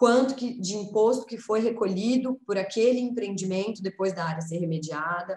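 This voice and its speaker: A woman talks in an ordinary speaking voice at a medium pitch and moderate pace, with ordinary pitch variation. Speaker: lawyer and researcher, speaker. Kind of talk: presentation.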